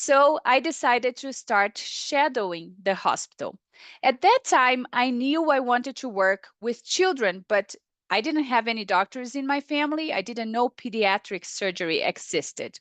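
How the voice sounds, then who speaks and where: With lively intonation, a woman speaks at a high pitch in a dry, close sound with no echo over a quiet background. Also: moderate pace. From Brazil. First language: Portuguese. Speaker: paediatric surgeon. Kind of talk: webinar lecture.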